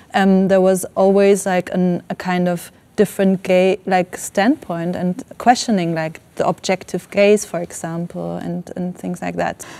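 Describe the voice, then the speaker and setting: A woman with an Iranian accent speaks at medium pitch in a dark, mellow tone. Her intonation stays monotone and flat, with hardly any pauses. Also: fairly slow pace. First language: Farsi. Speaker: filmmaker. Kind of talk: panel discussion. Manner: halting, many fillers.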